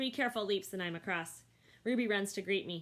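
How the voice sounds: The voice is a natural reading voice, its pitch shifting in an ordinary manner.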